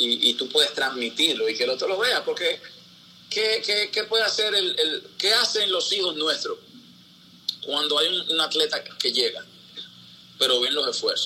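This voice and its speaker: A man with very even loudness and long, frequent pauses, over noticeable background noise. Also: moderate pace. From Dominican Republic, Santo Domingo (Capotillo). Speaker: sports broadcaster. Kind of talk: casual interview. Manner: halting, with many repetitions.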